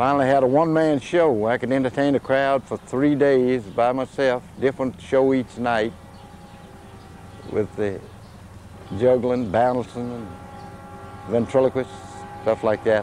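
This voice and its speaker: Over noticeable background noise, a man with an Appalachian accent and a medium pitch speaks fairly slowly, leaving long, frequent pauses. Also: ordinary pitch variation. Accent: Southern Appalachian American. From US South, Virginia mountains (Bedford area). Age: 70s. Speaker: chimpanzee sanctuary owner and former showman. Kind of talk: interview.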